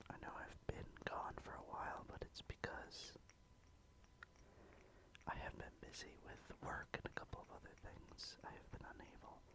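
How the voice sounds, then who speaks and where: A man whispers with long, frequent pauses, keeping a moderate pace. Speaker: ASMR creator. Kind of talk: ASMR casual talk. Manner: whispered.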